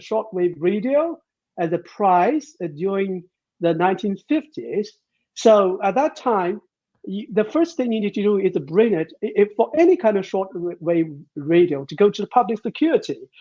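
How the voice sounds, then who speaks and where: A high-pitched man with a British accent, lively intonation and a moderate pace. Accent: British-sounding English. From China. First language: Chinese. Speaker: professor. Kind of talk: interview. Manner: halting.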